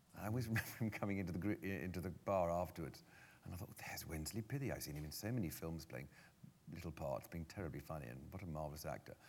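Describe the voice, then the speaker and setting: Vocal fry marks the voice of a man rushing along at a very fast pace. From London, England. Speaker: stage actor. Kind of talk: onstage interview. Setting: stage with audience.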